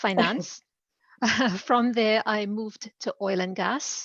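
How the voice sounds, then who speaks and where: A woman talks at a very slow pace in a medium pitch. Her intonation stays fairly even. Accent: slight Caribbean. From Trinidad. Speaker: executive director and career coach. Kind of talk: interview.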